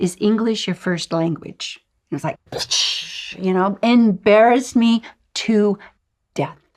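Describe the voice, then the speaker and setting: Delivered at a fairly slow pace with long, frequent pauses, the voice has an animated tone and ordinary pitch variation. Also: woman, medium pitch for a woman. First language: not English. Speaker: intuitive guide and author. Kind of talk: online course lesson. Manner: animated storytelling.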